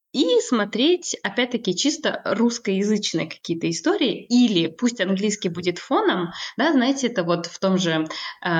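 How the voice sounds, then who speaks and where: Her voice swings very widely in pitch and sounds somewhat breathy. The woman speaks at a moderate pace in a fairly high pitch. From Kazakhstan. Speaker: language teacher and psychologist. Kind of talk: casual interview.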